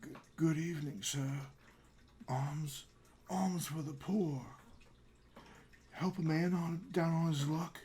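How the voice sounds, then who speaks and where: A man's raspy put-on character voice, fairly high in pitch with ordinary variation, at a fairly slow pace with long, frequent pauses. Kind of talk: old-fashioned polite.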